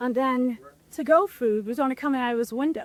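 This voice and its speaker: A woman speaks loudly at a moderate pace with a New York accent. Her high pitch moves in lively intonation, and the sound is dry and close with no echo. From New York, the Bronx. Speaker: restaurant owner. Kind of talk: casual chat. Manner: animated.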